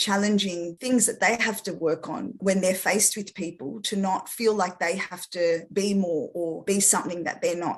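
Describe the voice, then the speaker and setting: Speaking with an Australian accent, a woman has a medium pitch and fairly even intonation. She keeps a moderate pace. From Australia, after early childhood in France. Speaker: speech therapist. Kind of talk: interview.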